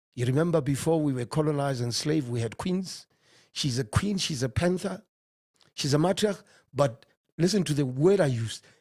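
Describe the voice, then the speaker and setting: A man sounds animated and somewhat breathy, with lively intonation at a fairly quick pace. The recording is very clean, with a silent background. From South Africa, Johannesburg. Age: 50s. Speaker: economist. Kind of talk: interview.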